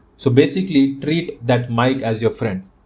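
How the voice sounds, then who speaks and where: A man speaks with a strong Indian accent at a moderate pace. His pitch is fairly high for a man. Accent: thick Indian. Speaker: podcast host. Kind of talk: casual solo podcast talk. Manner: robotic cadence.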